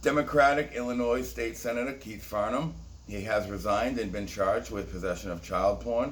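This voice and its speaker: Speaking at a fairly quick pace, a man uses an animated tone, and audible room echo surrounds his voice. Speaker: conspiracy video host. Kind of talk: casual monologue commentary.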